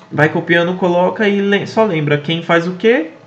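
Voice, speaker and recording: A man's high voice with lively intonation at a very slow pace, over noticeable background noise. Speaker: exam prep tutor. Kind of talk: casual study tutorial to camera.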